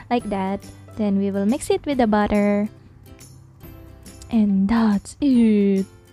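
A woman speaks over music in the background, the sound dry with no echo. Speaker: cooking vlog host. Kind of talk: casual voiceover narration.

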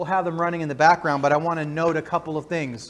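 Speaking at a very fast pace, a man talks in a high voice. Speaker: church announcer. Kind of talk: church announcements. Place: church. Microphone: lapel.

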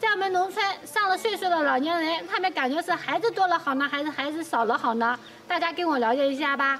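A woman's extremely high, lively voice at a very fast pace, with music in the background. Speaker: rural life vlogger. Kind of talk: casual interview questions. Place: open country.

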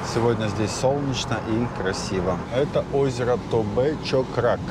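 A man's voice with ordinary pitch variation, dry with no echo, against loud background noise. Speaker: travel vlogger. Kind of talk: casual travel commentary. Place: car. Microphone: lapel.

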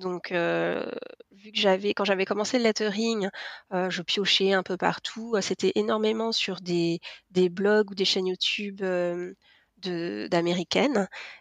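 Speaking very slowly at a medium pitch, a woman keeps her intonation fairly even while her loudness swings widely, in a dry, close sound with no echo and a quiet background. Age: 40s. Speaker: lettering artist. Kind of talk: interview. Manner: hesitant, many fillers.

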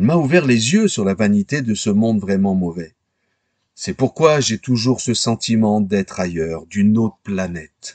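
In a plain, everyday voice, a man talks at a fairly low pitch and a fairly slow pace with lively intonation against a quiet background. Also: dry, close sound with no echo. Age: 60s. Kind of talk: scripted narration.

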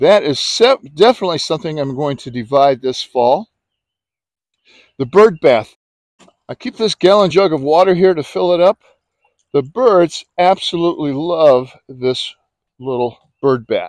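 Speaking at a fairly slow pace with long, frequent pauses, a man is heard in a dry sound with no echo against a quiet background. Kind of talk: casual garden tour narration. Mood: relaxed, cheerful. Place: garden. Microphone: phone near.

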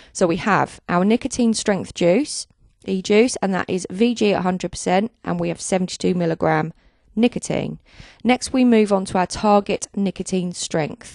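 A woman at a fairly slow pace with ordinary pitch variation, in a dry sound with no echo and a quiet background. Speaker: software tutorial narrator. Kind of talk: tutorial. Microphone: handheld.

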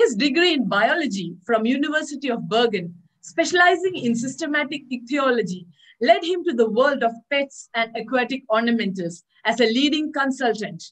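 A woman speaks at a moderate pace with a high pitch and lively intonation. The background is quiet. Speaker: webinar host. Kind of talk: speaker introduction.

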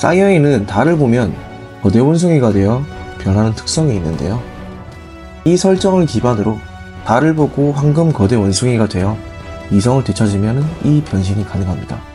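Music plays behind a man speaking at a medium pitch and a moderate pace. His pitch swings very widely, and he takes long, frequent pauses. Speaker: anime commentary narrator. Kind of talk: anime explainer narration.

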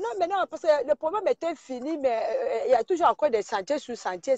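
The sound is dry, with no echo, and the background is quiet. Delivery comes at a moderate pace. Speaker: caller. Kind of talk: heated debate. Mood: indignant, scolding. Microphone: phone near.

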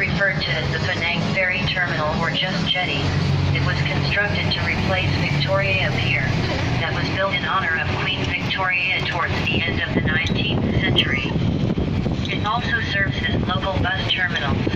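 Loud background noise runs through the clip. The pace is moderate. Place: bus.

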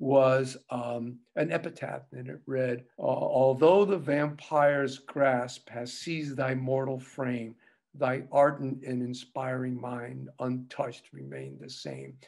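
A man speaking at a very slow pace, with fairly even intonation, against a quiet background. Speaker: interview guest. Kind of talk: interview answer. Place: home room. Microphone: webcam.

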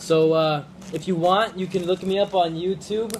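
A man speaks in monotone, flat intonation. Light noise can be heard in the background. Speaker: live streamer. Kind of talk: casual vlog chat. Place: kitchen. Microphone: phone near.

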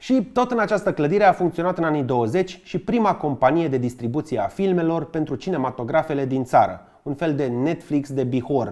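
A man with a Bucharest accent speaks at a fairly high pitch and a moderate pace, his intonation lively. His tone is dark and mellow, and the background is quiet. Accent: Bucharest Romanian. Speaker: history YouTuber. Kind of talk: scripted narration; humorous educational narration. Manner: lively, joking. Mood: wry, joking.

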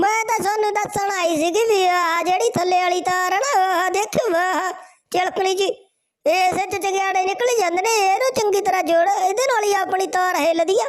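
A woman puts on a character voice pitched extremely high, with ordinary pitch variation. Her loudness stays very even throughout. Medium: comedy sketch. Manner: cheeky, complaining.

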